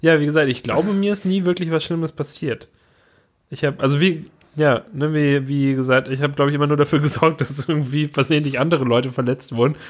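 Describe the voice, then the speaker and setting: Very fast and fairly even in intonation, a man talks in a fairly high voice. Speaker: podcast co-host. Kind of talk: casual chat.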